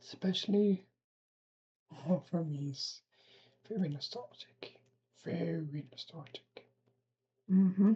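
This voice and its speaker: Pausing long and often, a woman speaks at a very slow pace in a dark, mellow, somewhat breathy voice of medium pitch, with ordinary pitch variation and big swings in loudness. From Belgium. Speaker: reaction video creator. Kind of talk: casual reaction commentary.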